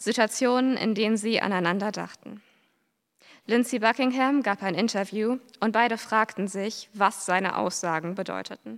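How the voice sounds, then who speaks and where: A woman has an unremarkable speaking voice with a fairly high pitch. She talks at a moderate pace with ordinary pitch variation. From western and northern Germany. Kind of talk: reading aloud.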